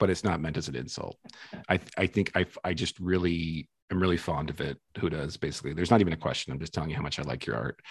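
A man's very deep, low voice with vocal fry and ordinary pitch variation, very fast pace, dry, close sound with no echo. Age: 40s. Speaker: podcast host. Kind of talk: casual interview.

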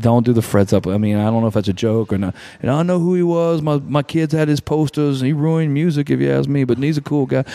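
In an American accent, a man speaks with lively intonation and a dark, mellow tone. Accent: south Louisiana Cajun-tinged Southern US. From southwest Louisiana, Lafayette. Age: 40s. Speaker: musician. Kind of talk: casual chat. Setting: studio.

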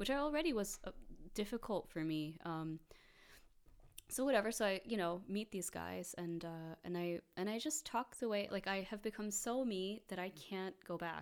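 In an American accent, a woman with an ordinary speaking voice talks at a moderate pace and medium pitch, her intonation lively. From New York, US. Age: 30s. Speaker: entrepreneur and spiritual healer. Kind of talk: interview.

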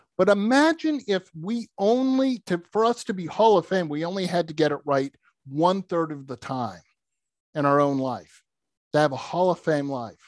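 With an American accent, a man with a high pitch sounds enthusiastic and energetic, his pitch swinging very widely, in a dry, close recording with no echo and a quiet background. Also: moderate pace. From US Northeast, outside Boston, Massachusetts. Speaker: motivational speaker and author. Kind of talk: casual interview. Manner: enthusiastic, energetic.

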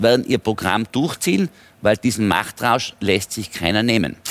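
The recording is very clean, with a silent background and a dry, close sound with no echo. A man talks at a medium pitch. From Tyrol, Austria. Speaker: politician and businessman. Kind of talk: heated debate.

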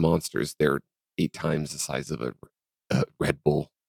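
His voice has vocal fry. The sound is close and dry, with no echo. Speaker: podcast co-host. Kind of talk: casual chat.

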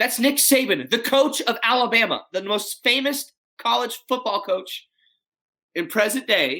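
A man with an American accent speaks at a fairly slow pace in a raised, projected voice, his extremely high pitch carrying a bright, sharp, animated tone with ordinary pitch variation. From Texas, Dallas. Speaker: custom tailor and rancher. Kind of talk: casual interview. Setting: video call.

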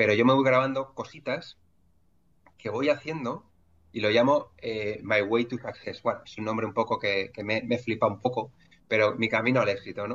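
A man speaks in a Madrid accent. His intonation is fairly even. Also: medium pitch for a man, moderate pace. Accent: Castilian Spanish (Madrid). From Madrid, Spain. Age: 40s. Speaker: entrepreneur. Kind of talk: interview conversation. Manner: halting, many fillers and repetitions.

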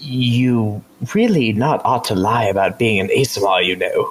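Quiet and at medium pitch, a man performs a put-on character voice. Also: moderate pace. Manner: low, confidential, hushed.

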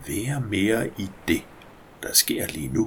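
A man speaks in a gentle, soothing tone with vocal fry. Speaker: hypnosis guide. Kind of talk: guided meditation. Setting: recorded audio for headphones. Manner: slow, soothing, calm; gentle, hypnotic, with long pauses.

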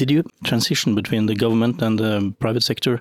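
A man speaks with a Norwegian accent. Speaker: podcast host. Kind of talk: interview. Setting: club venue. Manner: halting.

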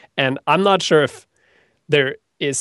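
A man with a Norwegian accent, ordinary pitch variation and a quiet background. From Norway. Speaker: web developer and online instructor. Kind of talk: interview. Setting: video call.

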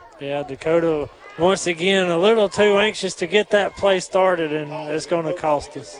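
Here a man speaks at a high pitch. Noticeable background noise sits behind him. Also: ordinary pitch variation, moderate pace. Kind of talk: live color commentary alongside play-by-play, coach's analysis. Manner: earnest, casual, analytical; halting with filler and restarts.

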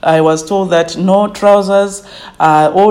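A woman's medium-pitched voice, varying in pitch in an ordinary way, comes through noticeable background noise. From Zimbabwe, village near Harare. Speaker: tourism company manager. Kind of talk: interview. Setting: her office, remote call.

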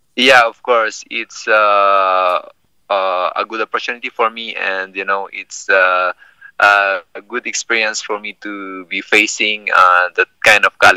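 In a dry, close sound with no echo, a man with a Filipino accent speaks at a fairly slow pace, his loudness swinging widely. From Philippines. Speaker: MMA fighter. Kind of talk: casual interview. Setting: phone call. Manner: halting.

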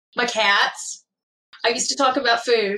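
In a Kentucky accent, a woman speaks at a fairly quick pace. Her intonation stays fairly even. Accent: southern US (Kentucky). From Kentucky, small town. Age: 20s. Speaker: former firefighter and EMT, patient. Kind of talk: interview.

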